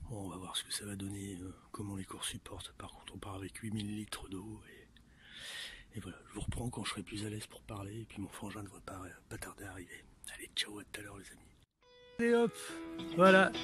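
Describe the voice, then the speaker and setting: Fairly low-pitched and monotone, a man talks at a fairly quick pace with flat intonation. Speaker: metal detecting hobbyist vlogger. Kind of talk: casual vlog narration. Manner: whispering, low voice; hesitant, many fillers.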